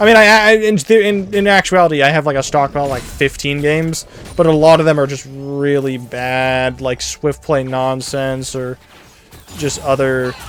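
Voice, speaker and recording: A quiet man at a moderate pace, fairly high in pitch with ordinary pitch variation, and music in the background. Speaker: gaming YouTuber. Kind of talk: casual gameplay commentary. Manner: varies between quiet and loud; rambling, hesitant with many fillers. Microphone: volume peaks when loud, quiet when soft.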